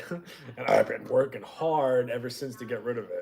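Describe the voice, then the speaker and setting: A man with an American accent speaks at a very slow pace with ordinary pitch variation. Noticeable background noise runs underneath. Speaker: livestream host. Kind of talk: casual chat.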